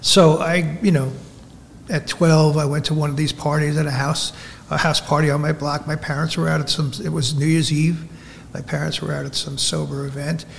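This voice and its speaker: Over noticeable background noise, a man speaks at a moderate pace with a fairly high pitch and monotone, flat intonation. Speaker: recovering alcoholic, sober over 20 years. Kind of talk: personal recovery testimony.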